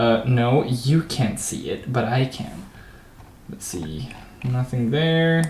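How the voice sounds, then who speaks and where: Speaking very slowly with a non-native accent, a man at medium pitch uses lively intonation while audible room echo surrounds his voice. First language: not English. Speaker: gaming livestreamer coding a game level. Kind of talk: casual commentary while coding. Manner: casual, hesitant with fillers.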